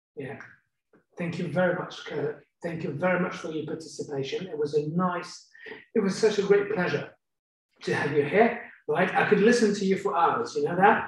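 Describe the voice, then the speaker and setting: With audible room echo, a man talks at a moderate pace in a high pitch. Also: ordinary pitch variation. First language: French. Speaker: negotiator and talk host. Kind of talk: interview.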